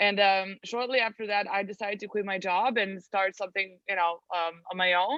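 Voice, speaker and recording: A woman with a Serbian accent talks at a fairly quick pace and medium pitch with fairly even intonation. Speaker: translation agency owner. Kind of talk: interview.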